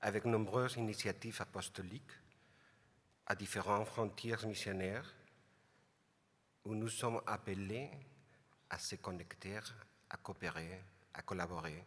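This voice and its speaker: Fairly slow, fairly low speech from a man with a non-native accent, fairly even intonation, and long, frequent pauses, on a very clean recording with a silent background. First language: not French (speaking French). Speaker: international lay community representative. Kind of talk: prepared speech. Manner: halting.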